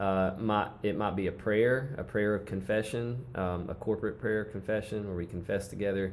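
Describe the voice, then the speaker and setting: Using an ordinary speaking voice, a man with a fairly low pitch talks at a moderate pace with fairly even intonation and hardly any pauses. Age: 30s. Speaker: worship leader and musician. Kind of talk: casual chat.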